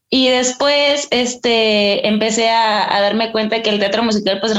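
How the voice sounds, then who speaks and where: A woman speaks with a central Mexican accent. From Mexico, Estado de México (Ixtapaluca). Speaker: stage actress. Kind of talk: interview.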